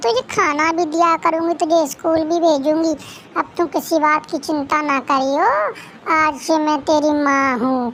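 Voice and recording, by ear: A female-sounding cartoonish character voice at an extremely high pitch, moderate pace, and clear background noise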